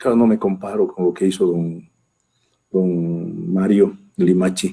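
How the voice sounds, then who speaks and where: A man speaks at a very slow pace, his loudness very even throughout. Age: 60s. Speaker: government minister. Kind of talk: interview. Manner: halting.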